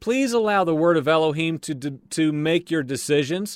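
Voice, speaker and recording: A normal speaking voice with lively intonation moves at a fairly slow pace in a very clean recording with a silent background and a dry, close sound without echo. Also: man. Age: 40s. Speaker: religious podcast host. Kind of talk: casual religious monologue.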